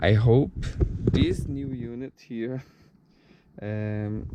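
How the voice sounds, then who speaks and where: A man talks with a Brazilian Portuguese accent. His pitch is medium, with ordinary variation. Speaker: car product reviewer. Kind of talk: tutorial. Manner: halting.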